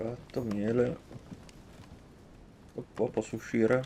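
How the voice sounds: A man talks at a fairly low pitch, with vocal fry. His tone is dark and mellow.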